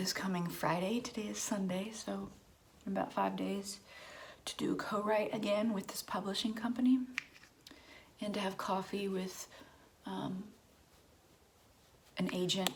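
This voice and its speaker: Soft-spoken and medium in pitch, a woman talks at a moderate pace in a monotone, flat intonation, with long, frequent pauses over noticeable background noise. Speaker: songwriter and vlogger. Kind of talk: casual chat.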